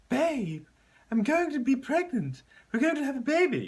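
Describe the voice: A put-on character voice, high in pitch, moves along at a moderate pace.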